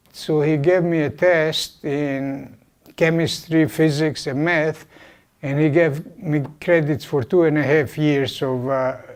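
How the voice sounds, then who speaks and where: Speaking at a fairly slow pace, a man with a Hungarian accent keeps a fairly high pitch and fairly even intonation. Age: 80s+. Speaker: Holocaust survivor. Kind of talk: guest talk to university class. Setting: classroom.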